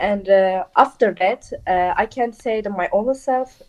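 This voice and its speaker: A woman speaks with a Turkish accent, her pitch fairly high and her tone dark and mellow. The sound is dry and close, with no echo. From Turkey. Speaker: volunteer. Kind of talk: interview. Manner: halting, many fillers.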